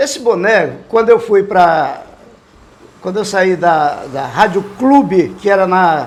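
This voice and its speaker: A man with a high pitch speaks at a fairly slow pace, his intonation lively. Noticeable background noise sits behind him. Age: 70s. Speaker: veteran radio police reporter. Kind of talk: interview.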